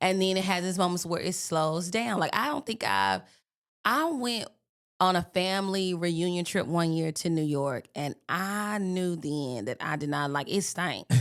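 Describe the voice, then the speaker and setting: Speaking at a fairly slow pace with a slight Southern US accent, a woman has a fairly low pitch, an animated tone and lively intonation. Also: very clean recording, silent background. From US South, Birmingham, Alabama. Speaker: podcast guest. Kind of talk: casual chat.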